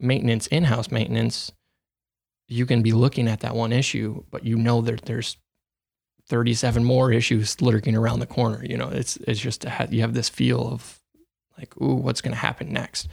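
There is vocal fry as a man talks at a moderate pace in a medium pitch with ordinary pitch variation. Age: 20s. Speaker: manufacturing field technician. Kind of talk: interview.

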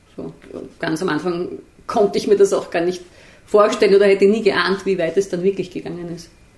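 A woman's flat, monotone delivery, broken by long, frequent pauses, over noticeable background noise. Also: medium pitch for a woman. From Austria, Vienna. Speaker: journalist and author. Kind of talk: interview conversation. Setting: on a couch in a living room. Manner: hesitant, with fillers and repetitions.

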